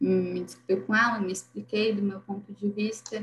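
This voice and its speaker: Speaking at a fairly slow pace, a woman uses ordinary pitch variation. Her voice is medium-pitched and somewhat breathy. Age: 20s. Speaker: holistic therapist. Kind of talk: casual chat.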